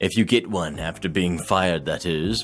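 A put-on character voice from a man, very deep and low, at a moderate pace, with faint music in the background. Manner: condescending.

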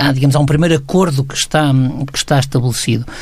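A man talks at a fairly high pitch with fairly even intonation against noticeable background noise. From Portugal, Aveiro. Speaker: sociologist, resident commentator. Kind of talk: radio commentary discussion. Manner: halting, many fillers.

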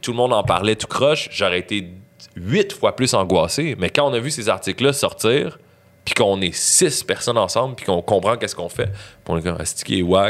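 This is a man with a plain, everyday voice. His intonation is lively, his pitch medium and his pace moderate. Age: 30s. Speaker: rapper. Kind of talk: casual chat.

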